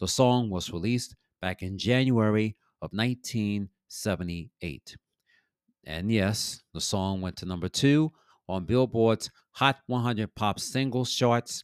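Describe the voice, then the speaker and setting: A man with an ordinary speaking voice, fairly low pitched and fairly slow, on a very clean recording with a silent background. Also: ordinary pitch variation, dry, close sound with no echo. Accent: American. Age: 50s. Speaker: podcast DJ and music history host. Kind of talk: solo podcast monologue on music history.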